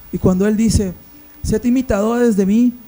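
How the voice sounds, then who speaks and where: A man's high-pitched voice at a moderate pace. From Peru, Amazon region (Iquitos, Loreto). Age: 30s. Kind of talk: podcast discussion, Bible teaching.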